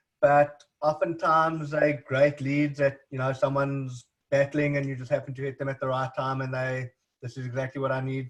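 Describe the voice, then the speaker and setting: Speaking at a fairly quick pace with a South African accent, the voice sounds somewhat breathy and monotone, with flat intonation. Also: man. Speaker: recruitment agency owner. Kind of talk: interview. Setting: video call.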